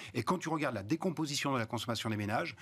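A man is speaking. His intonation is lively. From Rhône-Alpes, France. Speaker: economist, research institute director; TV guest. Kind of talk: panel discussion. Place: studio. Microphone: lapel.

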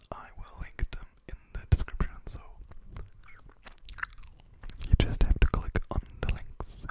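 The man whispers. His pace is fairly slow. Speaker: ASMR creator. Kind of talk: soft ASMR whisper-style chat and counting. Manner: close-mic whisper while chewing gum. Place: home room. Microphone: studio mic.

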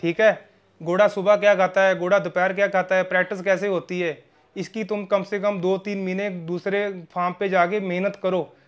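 At a moderate pace, a man speaks at a high pitch with monotone, flat intonation. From Punjab, near Khanna; Punjab. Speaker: horse breeder, stud farm owner. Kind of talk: casual interview. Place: home room. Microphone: lapel.

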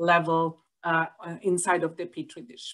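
This is a woman's voice. The background is quiet. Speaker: professor presenting research. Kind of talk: lecture. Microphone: webcam.

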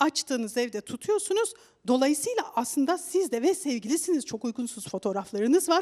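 Against a quiet background, a woman talks at a moderate pace in a high pitch with very wide pitch swings. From Turkey. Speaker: studio expert commentator. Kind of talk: studio discussion. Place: studio. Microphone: headset.

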